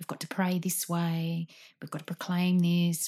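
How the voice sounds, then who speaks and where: In a very clean recording with a silent background, a woman speaks at a moderate pace in a fairly low, somewhat breathy voice with a dark, mellow tone. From Sydney, Australia. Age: 40s. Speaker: guest. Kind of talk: casual chat. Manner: animated; halting.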